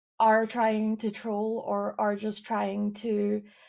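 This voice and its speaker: A woman with a Scottish accent speaks at a very slow pace in monotone, flat intonation, in a very clean recording with a silent background. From Scotland, east coast. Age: 20s. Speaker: streamer and illustrator. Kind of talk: casual interview.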